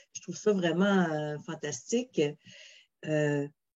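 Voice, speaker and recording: Speaking at a very slow pace with a Quebec accent, a woman uses a fairly low pitch and ordinary pitch variation. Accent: Québécois French. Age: 50s. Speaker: mediator and webinar host. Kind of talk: interview.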